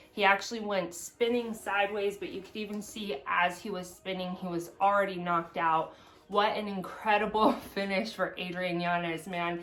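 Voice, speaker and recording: A woman speaks in an ordinary speaking voice at a medium pitch, keeping a moderate pace and fairly even intonation. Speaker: MMA fan vlogger. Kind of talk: casual vlog commentary.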